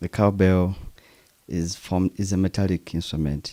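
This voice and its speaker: A man with a Ugandan accent speaks in a very deep, low pitch with a dark, mellow tone. The sound is dry and close, with no echo. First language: Luganda. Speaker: percussionist. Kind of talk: interview.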